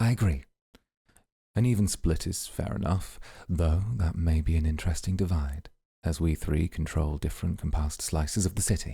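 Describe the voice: A man puts on a character voice that is extremely low and dark, mellow in tone, with vocal fry and a slightly husky edge. He keeps a moderate pace and fairly even intonation in a very clean recording with a silent background.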